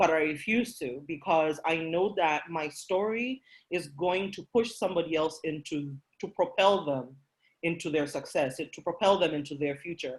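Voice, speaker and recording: In a Kenyan accent, a woman speaks at a moderate pace with a fairly low pitch and ordinary pitch variation. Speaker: workshop presenter. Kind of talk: motivational talk. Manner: passionate.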